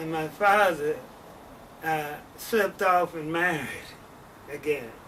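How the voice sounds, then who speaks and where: Against noticeable background noise, someone with an American accent talks at a fairly slow pace with ordinary pitch variation. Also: man, fairly high pitch for a man. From US Midwest, St. Louis, Missouri. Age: 70s. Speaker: interviewee telling life story. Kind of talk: life story interview. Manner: halting, many fillers.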